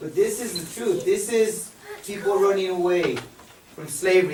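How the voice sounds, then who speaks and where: A man goes at a moderate pace with ordinary pitch variation, against noticeable background noise and audible room echo. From Mexico. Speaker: high school history teacher. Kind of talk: public talk at a forum.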